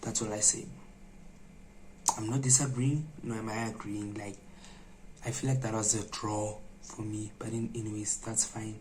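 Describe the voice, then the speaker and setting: With audible room echo, a man at a fairly low pitch talks with fairly even intonation and long, frequent pauses. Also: moderate pace. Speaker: vlogger. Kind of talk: vlog to camera. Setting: dark room at night, indoors. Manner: soft-spoken.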